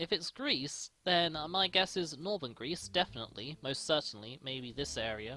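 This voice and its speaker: A very clean recording with a silent background, spoken at a fairly slow pace. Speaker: gaming youtuber. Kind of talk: let's play commentary.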